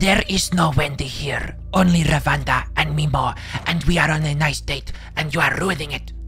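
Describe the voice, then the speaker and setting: Clear music plays in the background. The put-on character voice moves at a moderate pace. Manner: irritated, clipped speech.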